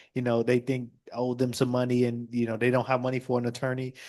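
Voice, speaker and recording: A man speaks with an American accent at a fairly quick pace. His intonation is monotone and flat, against a quiet background. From Chicago. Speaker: state representative. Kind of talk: panel discussion.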